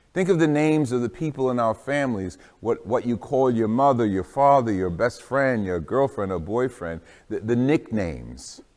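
At a moderate pace, a man talks with a quiet background behind him. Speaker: priest. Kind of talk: homily introduction. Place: church.

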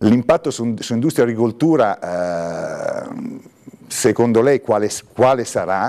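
A man speaks in a dark, mellow tone with lively intonation. His pace is moderate, and the background is quiet. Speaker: journalist and interviewer. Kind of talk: moderated interview. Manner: halting, repeats words. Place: studio. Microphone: lapel.

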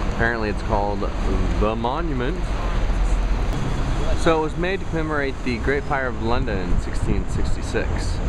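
A man keeps a moderate pace while loud background noise plays behind him. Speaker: travel vlogger. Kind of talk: casual vlog commentary. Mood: wry, sarcastic. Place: street. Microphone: phone near.

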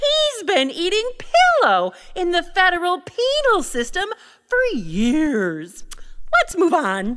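In a cartoonish character voice, a woman speaks at an extremely high pitch with very wide pitch swings, at a fairly slow pace full of long, frequent pauses. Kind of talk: character dialogue.

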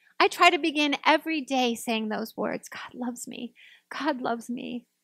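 Against a quiet background, a woman uses a raised, projected voice, the sound dry with no echo. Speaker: minister. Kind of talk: sermon. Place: church. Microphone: podium.

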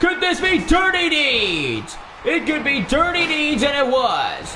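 A man uses a raised, projected voice with an extremely high pitch. He speaks at a fairly slow pace over light background noise. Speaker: gaming and wrestling channel commentator. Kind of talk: wrestling match commentary, play-by-play over highlights. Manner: gushing hype with breathless pauses. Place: home room. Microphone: headset.

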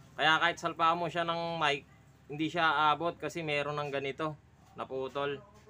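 A man's fairly high, bright, sharp voice at a moderate pace, with monotone, flat intonation. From Philippines. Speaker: electronics repair technician. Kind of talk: repair tutorial vlog. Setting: repair shop. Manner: casual, halting with fillers. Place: home room. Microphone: phone near.

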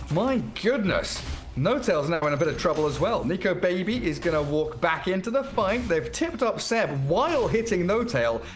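A man's animated, high-pitched voice at very even loudness, with noticeable background noise. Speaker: esports commentator. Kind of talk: live esports commentary. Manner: fast, animated play-by-play; excitable, laughs mid-call.

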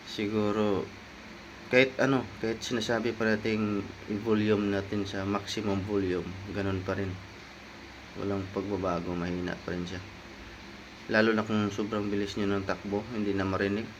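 A man speaks in a monotone, flat intonation, with long, frequent pauses. Noticeable background noise and audible room echo fill the recording. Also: fairly low pitch for a man, moderate pace. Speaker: motorcycle vlogger. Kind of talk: product review. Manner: casual.

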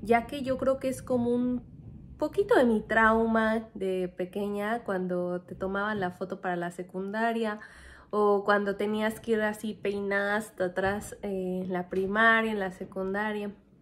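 A woman's medium-pitched voice with a Mexican accent, fairly slow and with fairly even intonation. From Mexico. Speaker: vlogger, former nurse; vlogger. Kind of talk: casual vlog talk to camera. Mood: playful, cheerful. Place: home room. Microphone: phone near.

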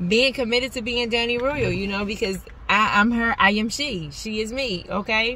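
A woman at a moderate pace with fairly even intonation, a dry sound with no echo, and light background noise. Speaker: faith vlogger. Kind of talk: casual vlog chat. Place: car. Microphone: phone near.

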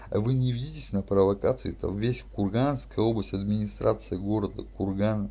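This is a man speaking at a moderate pace. He hardly pauses at all. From Russia, Kurgan region (Shadrinsk); Russia. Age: 30s. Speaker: video blogger. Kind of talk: monologue to camera; casual vlog monologue. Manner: rambling, full of fillers. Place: home room. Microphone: webcam.

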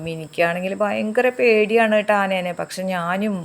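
A woman with an ordinary speaking voice, medium in pitch, with ordinary pitch variation. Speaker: village life vlogger. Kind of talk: vlog narration.

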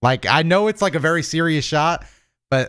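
A man speaks with an American accent at a fairly quick pace. The background is quiet. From US South, Florida. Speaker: podcast co-host. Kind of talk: casual chat. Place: home room. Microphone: studio mic.

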